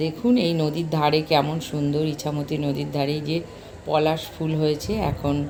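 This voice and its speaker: A woman with a West Bengal accent speaks in a very deep, low voice. There is audible room echo and noticeable background noise. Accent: West Bengal Bengali. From West Bengal, Taki (North 24 Parganas). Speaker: travel vlogger. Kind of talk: vlog narration. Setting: outdoors.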